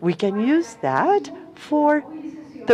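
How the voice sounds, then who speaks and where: A woman's pitch swings very widely, with noticeable background noise behind her. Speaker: conference panelist on corporate accountability. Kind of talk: conference presentation.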